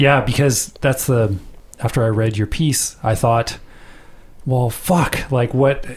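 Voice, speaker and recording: Very slow and somewhat breathy, a man speaks at a medium pitch. His loudness stays very even, with ordinary pitch variation. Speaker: podcast host interviewer. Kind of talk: interview discussion.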